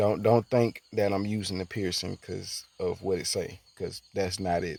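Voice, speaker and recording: A man speaks with fairly low pitch. His pace is moderate. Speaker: gaming YouTuber. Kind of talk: gameplay commentary. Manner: halting, many fillers and repetitions; casual.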